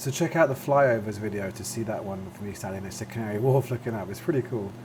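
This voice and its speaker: A man's medium-pitched voice at a very fast pace, with big swings in loudness, ordinary pitch variation and noticeable background noise. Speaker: flight sim video creator. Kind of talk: gameplay commentary. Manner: casual, many fillers.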